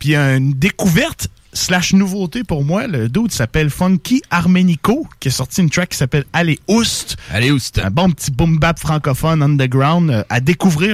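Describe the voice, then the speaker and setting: In a Quebec accent, a man with a relaxed tone and a fairly high pitch talks at a moderate pace with lively intonation and hardly any pauses, in a dry, close sound with no echo. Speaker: radio host. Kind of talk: casual hip-hop radio banter, slangy and laid-back. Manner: relaxed, jokey, peppered with 'man' and Quebec slang.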